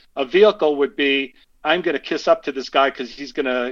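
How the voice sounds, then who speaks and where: A man with an American accent and a normal speaking voice, fairly high in pitch with ordinary pitch variation, at a fairly quick pace against a quiet background. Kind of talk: casual interview. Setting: phone call.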